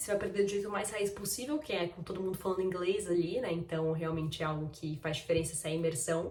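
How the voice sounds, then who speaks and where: Talking at a very fast pace with hardly any pauses and ordinary pitch variation, the speaker comes through audible room echo and noticeable background noise. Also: woman, fairly low pitch for a woman. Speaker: vlogger. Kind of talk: casual vlog talk.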